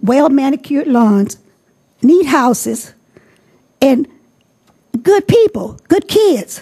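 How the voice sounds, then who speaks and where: In an American accent, a woman speaks at a fairly slow pace with a high pitch, lively intonation and a dark, mellow tone. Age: 70s. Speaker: resident asking question at forum. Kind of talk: public question at candidate forum. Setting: public forum with audience. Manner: insistent, talks over interruptions.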